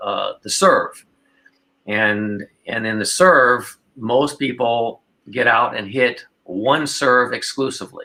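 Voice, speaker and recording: This man has a bright, sharp tone at medium pitch with ordinary variation. He talks at a fairly slow pace. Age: 60s. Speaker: pickleball pro and coach. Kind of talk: casual interview. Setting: podcast.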